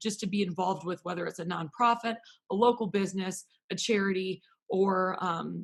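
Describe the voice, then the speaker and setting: Somewhat breathy, a woman with an American accent talks with fairly even intonation. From Wisconsin, US Midwest. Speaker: talk show host. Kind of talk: casual interview chat.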